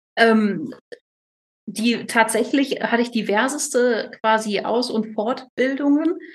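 Speaking at a very slow pace with a slight northern German accent, a woman uses a fairly high pitch with ordinary pitch variation. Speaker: chef and retreat owner. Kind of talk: interview.

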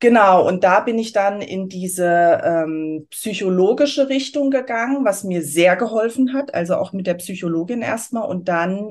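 Her pitch swinging very widely, a woman talks at a fairly slow pace in a quiet background. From Germany, Aschaffenburg area (Lower Franconia/Hesse border). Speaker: astrology consultant. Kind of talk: interview.

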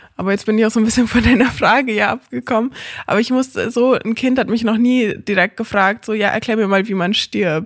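A woman with an ordinary speaking voice talks at a fairly quick pace with fairly high pitch and fairly even intonation. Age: 20s. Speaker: hospice volunteer and lecturer. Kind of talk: interview. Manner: casual, many fillers.

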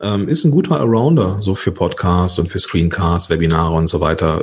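A man's very deep, low voice moves at a moderate pace. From Ruhr area / Rhineland, Germany. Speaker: podcast coach. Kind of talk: interview. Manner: animated.

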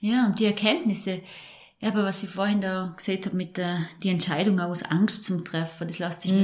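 A woman with a Vorarlberg accent speaks at a moderate pace in a medium-pitched, somewhat breathy voice with fairly even intonation. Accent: Vorarlberg dialect (Alemannic). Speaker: mental trainer and breathing therapist. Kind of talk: casual chat.

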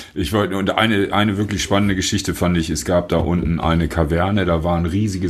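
Against noticeable background noise, a man talks fairly quickly with fairly even intonation. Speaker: rock musician. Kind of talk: casual interview chat.

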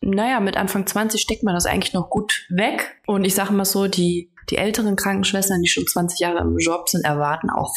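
Amid noticeable background noise, a woman speaks at a moderate pace and medium pitch. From western Germany, North Rhine-Westphalia (Remscheid area). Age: 30s. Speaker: guest expert, former nurse. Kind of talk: casual interview chat.

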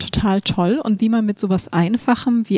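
The woman's somewhat breathy voice has a dark, mellow tone and ordinary pitch variation, recorded dry and close with no echo. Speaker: podcast host.

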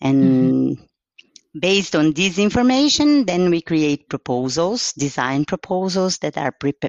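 A woman with a Portuguese accent, fairly low-pitched, with lively intonation, a fairly slow pace and hardly any pauses. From Brazil, São Paulo. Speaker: car designer. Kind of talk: interview. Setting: at home.

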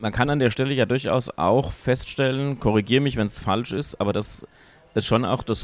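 Talking at a fairly quick speed, the man varies his pitch in an ordinary way. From Hesse, Wetterau (Wölfersheim). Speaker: podcast host, politician. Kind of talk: casual interview. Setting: café.

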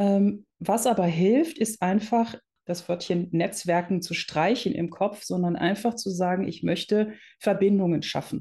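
A woman's somewhat breathy, dark and mellow voice at medium pitch, fairly slow, with ordinary pitch variation and a quiet background. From Netherlands, raised in Germany. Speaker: entrepreneur, founder of a women's business network. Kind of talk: interview.

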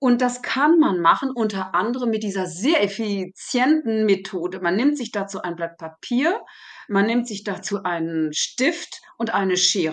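A woman speaks fairly slowly at a medium pitch. Her intonation is lively, and the background is quiet. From Germany. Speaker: therapy method coach. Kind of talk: interview. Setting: remote call.

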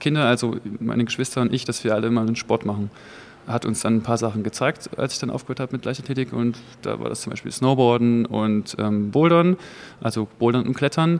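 A man talks at a fairly quick pace in a medium pitch. He has an unremarkable speaking voice with ordinary pitch variation. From eastern Germany, Jena. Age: 30s. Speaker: competitive boulderer. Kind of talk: interview.

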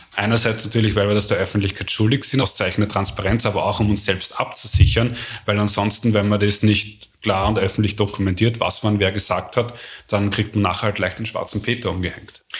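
This man talks at a fairly quick pace with a fairly low pitch and a somewhat breathy voice. His intonation stays monotone and flat. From Austria, Vienna and Lower Austria. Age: 40s. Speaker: complexity scientist. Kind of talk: interview. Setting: office.

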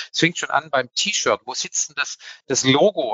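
A man talks with a Swabian accent. He moves at a fairly quick pace. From Swabia, southwestern Germany. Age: 50s. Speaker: public relations head. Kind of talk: panel discussion. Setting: live conference.

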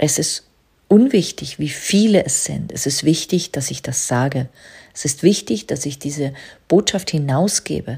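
A woman's very deep, low voice, somewhat breathy and calm in tone, with lively intonation at a fairly slow pace. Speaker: business coach and podcast host. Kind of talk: spiritual monologue. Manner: slow, calm, trance-inducing.

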